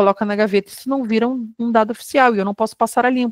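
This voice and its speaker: An unremarkable speaking voice from a woman, fairly high-pitched with ordinary pitch variation, in a dry, close sound with no echo. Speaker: lecturer on quality control. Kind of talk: online lecture. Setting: online webinar.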